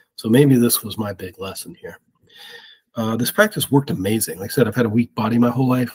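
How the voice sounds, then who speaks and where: Here a man with an American accent talks at a fairly quick pace and medium pitch. His voice is somewhat breathy, with a dry, close sound and no echo. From US Midwest, Ohio. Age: 50s. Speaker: spiritual experiencer. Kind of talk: testimony.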